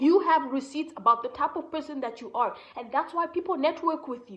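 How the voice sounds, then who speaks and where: This woman has a strong Kenyan accent. Her intonation is lively. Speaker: entrepreneur and content creator. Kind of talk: motivational talk. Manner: casual, conversational.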